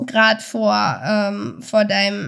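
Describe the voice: A woman speaks slowly at a medium pitch, her tone clear, smooth and fairly bright. Her voice makes big pitch swings and shows vocal fry.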